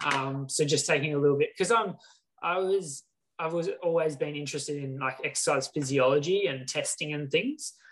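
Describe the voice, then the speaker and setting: An Australian-accented man talks at a fairly quick pace in a somewhat breathy voice, fairly high in pitch with ordinary pitch variation. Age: 20s. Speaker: professional triathlete. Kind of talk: casual chat.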